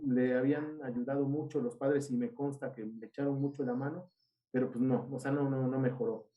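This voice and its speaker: His pitch sits fairly high. The man talks with a Mexican accent. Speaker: seminary teacher. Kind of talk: casual chat. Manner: animated.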